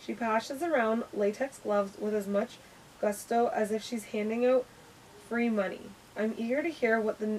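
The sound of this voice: Intonation stays fairly even. It is an unforced reading voice.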